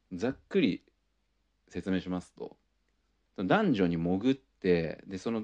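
A fairly low-pitched man, fairly slow in pace yet lively in intonation, with a dry, close sound and no echo. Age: 30s. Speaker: podcast host. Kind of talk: casual monologue.

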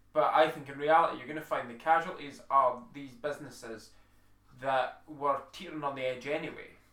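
A man talks in a British accent at a fairly quick pace. His intonation stays fairly even while his loudness rises and falls sharply. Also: fairly high pitch for a man. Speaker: podcast co-host. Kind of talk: casual chat.

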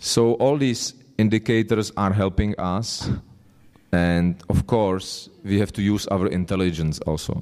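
At a fairly slow pace, a man talks with a Czech accent and ordinary pitch variation. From Czech Republic. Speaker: spiritual speaker. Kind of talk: religious lecture. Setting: temple hall with live audience. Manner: halting, pausing for translation.

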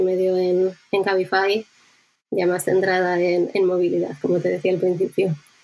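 At a moderate pace, a woman speaks in a dark, mellow tone at a medium pitch, with monotone, flat intonation and very even loudness. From Basque Country, Spain (Bilbao). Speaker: user researcher. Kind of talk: interview.

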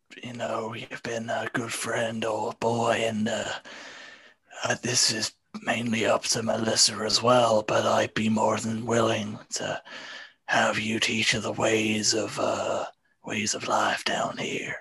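A raspy male voice at a very slow pace with monotone, flat intonation. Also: medium pitch for a man. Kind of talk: comic improvised noir. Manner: folksy, drawling.

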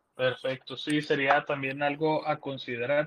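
The speaker talks at a moderate pace in a Mexican accent, with monotone, flat intonation. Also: man. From Mexico. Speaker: caller. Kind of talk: casual chat.

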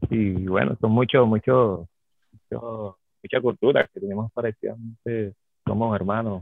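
This man's voice sits at a medium pitch with ordinary pitch variation. He keeps a moderate pace broken by long, frequent pauses. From Venezuela, Caracas. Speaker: chef. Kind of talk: interview on radio show.

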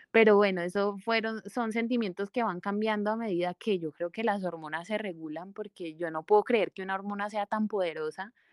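A woman at medium pitch with a Cali Colombian accent, fairly quick and with hardly any pauses, fairly even in intonation, in a very clean, dry, close recording with no echo and a silent background. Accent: Colombian Spanish, Cali region. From Valle del Cauca, Colombia. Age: 30s. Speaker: plastic surgeon. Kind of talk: interview, personal testimony.

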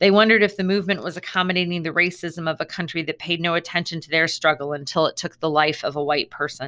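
Fairly low in pitch, a woman's bright, sharp voice races at a very fast pace with hardly any pauses and fairly even intonation, on a very clean recording with a silent background. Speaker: school librarian. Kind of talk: audiobook reading with presidential speech. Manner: measured, even read-aloud pace; solemn, emphatic on the quoted presidential line.

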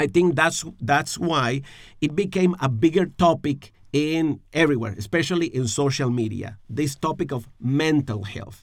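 A man with a Spanish accent talks at a moderate pace in a fairly high voice, his intonation lively. The recording is very clean, with a silent background. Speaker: pastor. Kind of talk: podcast discussion on faith and emotional health. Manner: halting, searching for words.

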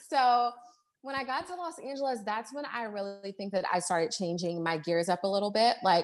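A woman with an American accent talks at a fairly quick pace in a normal speaking voice. Her medium pitch shows ordinary variation against a quiet background. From Baltimore, Maryland. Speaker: entrepreneur and life coach. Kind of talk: casual interview chat.

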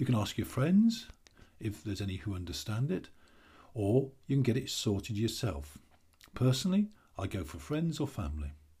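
Using an English accent, a man talks at a moderate pace with long, frequent pauses and very wide pitch swings. His medium-pitched voice is somewhat breathy, with a dark, mellow tone. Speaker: stress coach and author. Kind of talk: scripted advice monologue.

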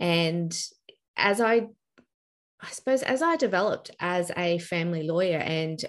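A woman speaks with an Australian accent and a fairly low pitch. The background is quiet. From Brisbane, Australia. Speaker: family law mediator. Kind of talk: interview chat.

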